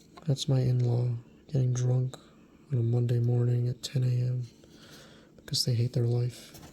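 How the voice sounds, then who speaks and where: A soft-spoken voice at a moderate pace, broken by long, frequent pauses. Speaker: card collector YouTuber. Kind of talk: ASMR card review.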